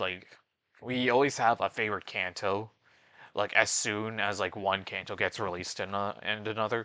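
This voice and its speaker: Speaking at a moderate pace with a Canadian accent, a man uses a fairly low pitch, a bright, sharp tone and fairly even intonation against a quiet background. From Canada. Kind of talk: casual video voiceover commentary. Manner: stuttering, searching for words.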